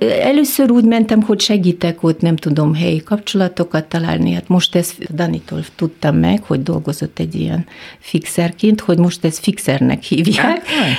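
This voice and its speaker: A woman keeps a moderate pace as noticeable background noise runs underneath. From Kyrgyzstan. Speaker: film industry professional. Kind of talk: radio interview. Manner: halting.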